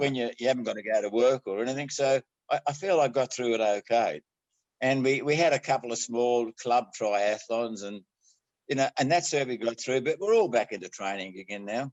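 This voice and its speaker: A man with an Australian accent, medium-pitched, at a fairly quick pace with ordinary pitch variation. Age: 80s+. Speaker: amateur triathlete. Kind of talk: interview answer. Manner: casual, good-humoured.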